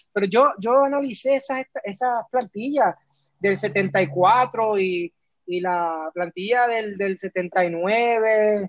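In a dry, close sound with no echo, a man talks at a very slow pace and a high pitch with ordinary pitch variation. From Puerto Rico (Camuy), raised in New York until 14. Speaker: historian and author. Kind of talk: interview. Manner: halting, many repetitions.

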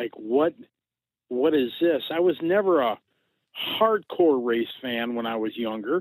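A man with an American accent, fairly high pitch and lively intonation, at a fairly slow pace with long, frequent pauses, in a dry, close sound with no echo. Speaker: RC racing promoter and announcer. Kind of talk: casual interview. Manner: animated.

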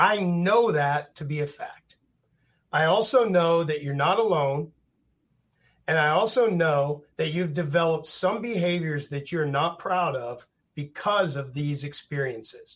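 A man talks in a normal speaking voice at a fairly slow pace. His pitch is fairly high, with ordinary variation. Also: very clean recording, silent background. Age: 50s. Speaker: reality TV contestant and fitness athlete. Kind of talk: casual interview chat.

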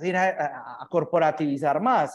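A man speaks at a fairly high pitch with a Paisa Colombian accent. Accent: Colombian paisa Spanish (voseo). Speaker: startup founder. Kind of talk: casual chat.

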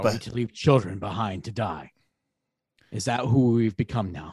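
Using a put-on character voice, a man speaks at a medium pitch and a moderate pace with big swings in loudness. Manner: defiant, principled.

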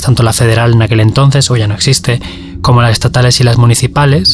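A man keeps fairly even intonation at a medium pitch while noticeable background noise runs underneath. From Valencia, Spain. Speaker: journalist. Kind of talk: interview. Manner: halting, many repetitions and fillers.

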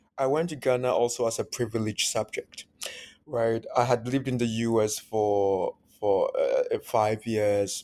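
In an Akan accent, a man speaks at a moderate pace and medium pitch with a dark, mellow tone, on a very clean recording with a silent background. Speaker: academic author. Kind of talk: interview.

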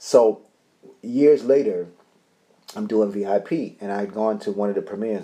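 A man talks with a New York accent. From New York City (Bronx, Harlem, Queens). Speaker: actor. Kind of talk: casual interview chat.

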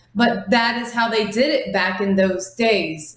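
Noticeable background noise sits behind a woman in an American accent whose pitch varies in an ordinary way. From US Midwest (Ohio). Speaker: paranormal investigator. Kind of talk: casual interview. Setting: video call.

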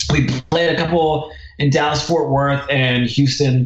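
A man's flat, monotone delivery in an American accent, fairly high in pitch and fairly slow, with noticeable background noise. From southern New Jersey, Philadelphia area. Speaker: documentary filmmaker. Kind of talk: casual interview chat.

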